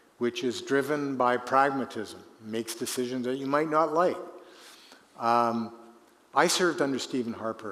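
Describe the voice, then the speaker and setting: Speaking with a Canadian accent, a man uses medium pitch, ordinary pitch variation and a moderate pace amid audible room echo. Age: 70s. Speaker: retired politician. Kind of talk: conference Q&A.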